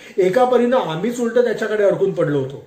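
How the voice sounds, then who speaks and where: A man's voice makes very wide pitch swings. Noticeable background noise runs behind him. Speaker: voice-over artist. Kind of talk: read story.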